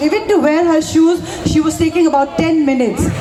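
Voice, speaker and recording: With ordinary pitch variation and a moderate pace, a woman talks as noticeable background noise carries on. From Manipur, northeast India. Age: 50s. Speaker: violence survivor. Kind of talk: testimony. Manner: halting.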